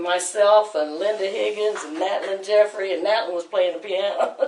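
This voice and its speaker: Speaking at a moderate pace in an American accent, a woman holds a medium pitch with monotone, flat intonation against noticeable background noise. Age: 60s. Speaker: church choir leader. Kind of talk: testimony. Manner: casual conversational, storytelling.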